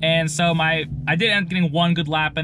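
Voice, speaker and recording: Music plays in the background. A man speaks over it at a fairly quick pace. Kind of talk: casual vlog chat.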